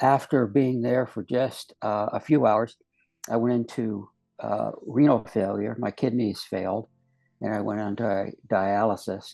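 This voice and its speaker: Fairly slow, fairly even speech from a man with an American accent, fairly low in pitch, dark and mellow in tone, against a quiet background. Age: 70s. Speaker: near-death experiencer, retired investigator and educator. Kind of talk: testimony. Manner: halting, many fillers.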